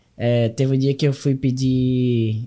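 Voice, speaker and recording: Dark, mellow tone from a man, with a fairly high pitch. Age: 20s. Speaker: young entrepreneur and speaker. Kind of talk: interview.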